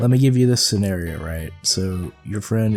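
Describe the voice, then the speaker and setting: Music in the background behind male speech with ordinary pitch variation, delivered at a moderate speed. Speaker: gaming video creator. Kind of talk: podcast-style commentary. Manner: casual, rambling.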